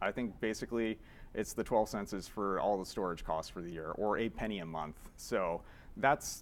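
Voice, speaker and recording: Fairly low in pitch, a man with a Canadian accent speaks with ordinary pitch variation. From Canada. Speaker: software developer, conference speaker. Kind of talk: conference talk. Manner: fast; casual, filler-heavy.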